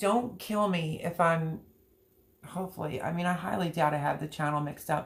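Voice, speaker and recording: Somewhat breathy, a woman speaks at a fairly slow pace. Her pitch is fairly low, with ordinary pitch variation. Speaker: livestreamer. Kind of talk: casual chat.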